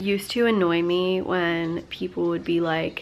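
With light background noise, a woman speaks in a monotone, flat intonation. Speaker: stay-at-home mom vlogger. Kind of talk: casual vlog chat. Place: home room. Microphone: phone near.

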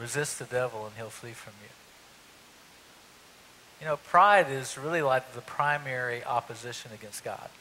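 A man speaks at a fairly slow pace with a bright, sharp tone. His pitch sits at a medium level, and his intonation stays fairly even.

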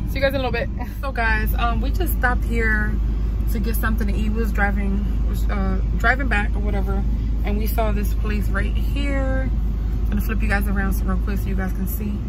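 A woman talks at a fairly quick pace. The sound is dry with no echo, with loud background noise behind her. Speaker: vlogger. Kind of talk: casual vlog chat. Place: car. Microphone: phone near.

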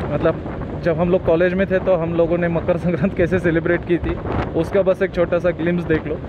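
A man is recorded with a dry sound and no echo. Background noise is noticeable. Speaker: motovlogger. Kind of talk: casual vlog chat. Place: motorbike. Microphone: helmet.

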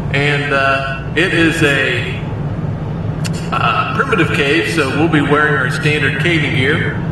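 Over loud background noise and audible room echo, a man talks at a fairly slow pace. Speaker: vlogger. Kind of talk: casual vlog chat. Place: car. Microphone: phone near.

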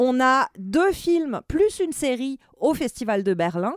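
A woman's high-pitched voice with very wide pitch swings, dry and close with no echo. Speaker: film and TV critic. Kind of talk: opinion discussion.

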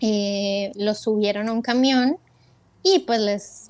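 Against a quiet background, a woman with a fairly high pitch speaks at a very slow pace with ordinary pitch variation. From Colombia, Bogotá, raised in Ecuador from age 8. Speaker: sound engineer, emigrant; interview guest. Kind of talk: interview storytelling. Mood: warm, reflective. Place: home room. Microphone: earbuds.

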